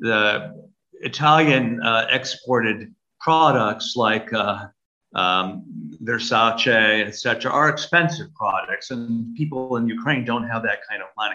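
Someone with a Brooklyn accent speaks at a very slow pace, with ordinary pitch variation. Music plays in the background. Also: man, medium pitch for a man. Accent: American, close to a Brooklyn-born host's. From US Northeast, Brooklyn, New York City. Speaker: Orthodox archbishop. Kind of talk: interview.

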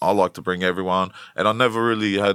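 A man speaks with a strong Australian accent and a fairly low pitch. His pace is fairly quick. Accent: broad Australian. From Western Sydney, Australia (Blacktown). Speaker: rapper. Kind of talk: casual interview.

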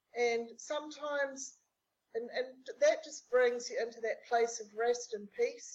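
A woman with a New Zealand accent and a high pitch speaks at a fairly slow pace, her intonation fairly even but her loudness swinging widely. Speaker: business strategist. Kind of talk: interview conversation.

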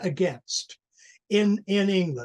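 Lively intonation at a fairly slow pace, with a Canadian accent. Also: man. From Canada. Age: 80s+. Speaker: journalist and activist. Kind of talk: interview.

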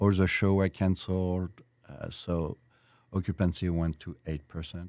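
In a French accent, a man speaks at a moderate pace with a very deep, low pitch and monotone, flat intonation, the sound dry and close with no echo in a very clean recording with a silent background. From France (Versailles). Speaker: restaurateur. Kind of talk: interview.

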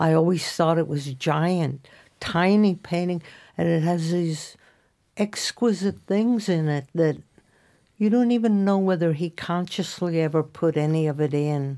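A woman's fairly low-pitched, dark, mellow voice at a fairly slow pace, with ordinary pitch variation and very even loudness, on a very clean recording with a silent background. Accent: American. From Indiana. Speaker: painter. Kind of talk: casual chat.

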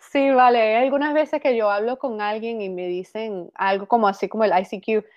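This woman has a normal speaking voice with a fairly high pitch. She keeps a moderate pace, and her pitch varies in an ordinary way. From Venezuela. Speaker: actress. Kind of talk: casual chat. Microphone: laptop mic.

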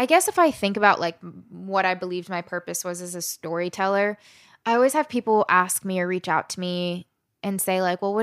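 Delivered at a fairly quick pace with an American accent, a plain, everyday voice shows ordinary pitch variation in a very clean recording with a silent background and a dry, close sound with no echo. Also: woman. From Southern Maryland, US. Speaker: storyteller and activist. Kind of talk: interview conversation.

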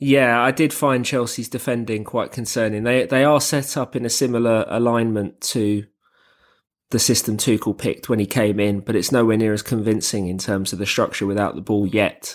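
A plain, everyday voice at a moderate pace, fairly even in intonation, on a very clean recording with a silent background. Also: man, medium pitch for a man. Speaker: football analyst and podcast host. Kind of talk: casual chat.

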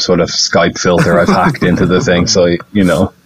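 Noticeable background noise sits behind this recording. A man with an Irish accent speaks in a very deep, low voice. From Ireland, Dublin. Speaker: tour guide. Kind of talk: casual chat. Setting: video call.

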